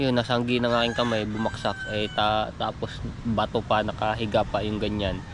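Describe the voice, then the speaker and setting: There is noticeable background noise as a man speaks at a moderate rate. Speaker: vlogger. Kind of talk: casual vlog talk.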